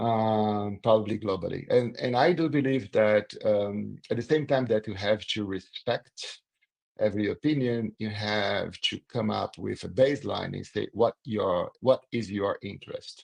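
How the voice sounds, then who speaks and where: A man with a Brazilian accent speaks fairly slowly in a fairly low voice, recorded dry and close with no echo. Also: ordinary pitch variation. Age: 60s. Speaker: corporate communications executive. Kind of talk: interview.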